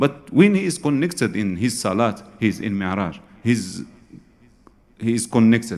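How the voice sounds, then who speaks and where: This man speaks with an Arabic accent. His pitch is fairly low. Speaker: Sufi scholar, lecturer. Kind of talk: lecture. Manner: halting, repeats words.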